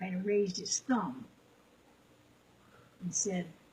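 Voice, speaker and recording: This woman speaks at a fairly slow pace in a medium pitch. Her voice is somewhat breathy, with a dark, mellow tone. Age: 80s+. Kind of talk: interview answer.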